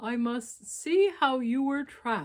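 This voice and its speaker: A woman performs a put-on character voice at a high pitch. Her pace is fairly slow. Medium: read story. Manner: solemn, deliberate.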